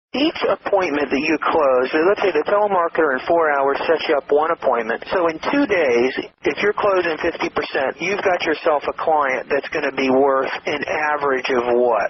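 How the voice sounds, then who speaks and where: Noticeable background noise sits behind a fairly high-pitched man who talks at a moderate pace with ordinary pitch variation and hardly any pauses. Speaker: business interviewer. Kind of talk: podcast intro.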